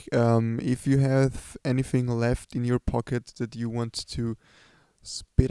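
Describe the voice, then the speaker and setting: In a dry, close sound with no echo, a man with a German accent talks at a fairly slow pace and medium pitch, his dark, mellow tone paired with monotone, flat intonation. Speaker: podcast host. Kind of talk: casual interview. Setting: empty club. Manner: hesitant, many fillers.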